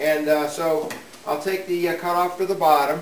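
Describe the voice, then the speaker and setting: A man's voice comes through with audible room echo and light background noise. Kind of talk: tutorial. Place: workshop.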